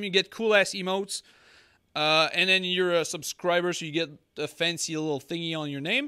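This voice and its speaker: A man with a high, bright, sharp voice projects it loudly at a fairly quick pace in a very clean recording with a silent background. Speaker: podcast host. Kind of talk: casual chat. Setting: live stream.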